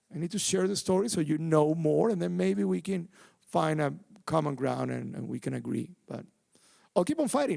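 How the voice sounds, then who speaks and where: At a moderate pace, a man talks in a Venezuelan accent. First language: Spanish. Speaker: activist and bereaved father. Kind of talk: live panel talk. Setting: theatre stage with audience. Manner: halting, many repetitions.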